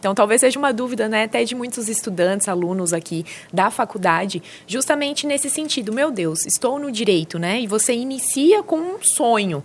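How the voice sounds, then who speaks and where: With an interior São Paulo accent, a woman talks fairly quickly at a fairly high pitch with lively intonation, and noticeable background noise can be heard. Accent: Brazilian São Paulo countryside. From interior of São Paulo state, Brazil. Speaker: social security lawyer. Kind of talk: podcast interview.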